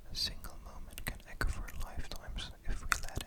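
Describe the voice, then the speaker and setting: A man whispers. His pace is moderate. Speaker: ASMR creator. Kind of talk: sleep story, bedtime story reading. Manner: whispered, soft-spoken.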